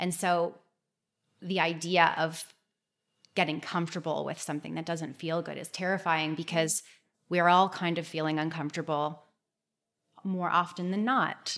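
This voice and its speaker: A woman with a Canadian accent and a fairly low pitch speaks at a moderate pace in a monotone, flat intonation, with long, frequent pauses, in a very clean recording with a silent background. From Toronto area, Canada. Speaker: clinical nutritionist. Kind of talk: interview.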